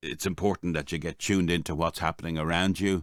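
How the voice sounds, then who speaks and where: This man speaks with an Irish accent and a very deep, low pitch. The recording is very clean, with a silent background. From Ireland. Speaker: voice-over artist. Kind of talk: casual podcast talk to camera.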